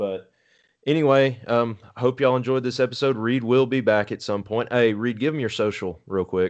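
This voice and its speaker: Speaking with a normal speaking voice and an American accent, a man keeps a medium pitch, moderate pace and ordinary pitch variation against a quiet background. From Texas. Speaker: podcast host. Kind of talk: casual chat.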